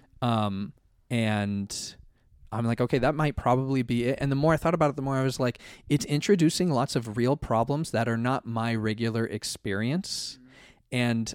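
A very clean recording with a silent background, pitch varying in an ordinary way. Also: man. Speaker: podcast co-host. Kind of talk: casual chat. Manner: fast.

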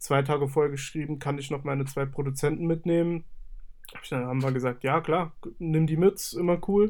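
Fairly quick and fairly even in intonation, a man with an unremarkable speaking voice speaks at a fairly high pitch. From Saarland, Germany. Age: 20s. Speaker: music studio owner and artist manager. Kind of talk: casual interview.

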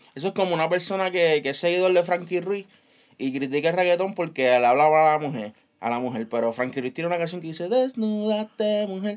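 Lively intonation marks a man's high-pitched voice as he speaks at a very fast pace in a very clean recording with a silent background. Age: 20s. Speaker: podcast co-host. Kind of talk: casual chat.

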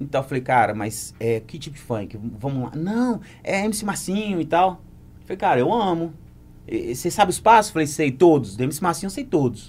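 Fairly high male voice with vocal fry and very wide pitch swings. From Brazil, Muriaé (Minas Gerais). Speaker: dancer and choreographer. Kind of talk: casual chat.

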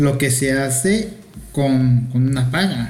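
With audible room echo, a man speaks very slowly in a somewhat breathy, fairly high voice that shows ordinary pitch variation. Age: 40s. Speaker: guest, friend of host. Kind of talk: casual chat. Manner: campy, playful.

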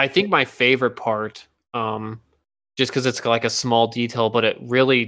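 At a moderate pace, a man talks in a monotone, flat intonation at a medium pitch. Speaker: podcast co-host. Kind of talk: casual chat.

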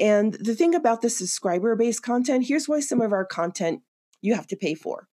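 A woman with an American accent speaks in a dark, mellow tone. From New York City (Queens). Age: 50s. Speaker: outdoor media creator and army veteran. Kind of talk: interview conversation.

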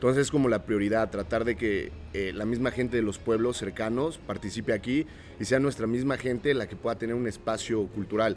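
Here a man talks at a fairly quick pace with a medium pitch. His pitch varies in an ordinary way, a plain, everyday voice. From Oaxaca, Mexico. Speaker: organic market owner. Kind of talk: casual interview chat.

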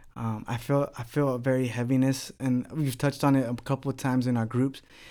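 Speaking in an American accent at a moderate pace, the voice has monotone, flat intonation in a very clean recording with a silent background. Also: man. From Texas, Houston southwest side. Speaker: pastor. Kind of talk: casual chat.

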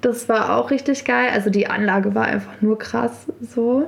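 A woman speaks with a fairly high pitch. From Berlin and Brandenburg, Germany. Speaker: DJ and festival co-founder. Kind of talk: casual interview.

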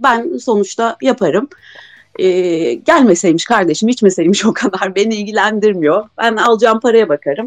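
A woman talks in an unremarkable speaking voice at a fairly high pitch. Her intonation is lively and her pace moderate. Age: 30s. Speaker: caller, tattoo artist and mother. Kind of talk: casual chat. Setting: live Twitter Spaces audio room.

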